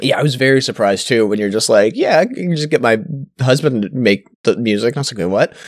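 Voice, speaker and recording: A man with a Canadian accent talks at a fairly quick pace, medium in pitch. He has a plain, everyday voice with ordinary pitch variation. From Canada. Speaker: podcast co-host. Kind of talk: casual chat. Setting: voice call over Discord.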